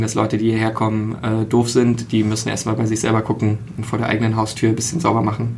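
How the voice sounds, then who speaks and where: Over noticeable background noise and audible room echo, a man talks at a very fast pace. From Berlin. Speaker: podcaster. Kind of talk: casual chat.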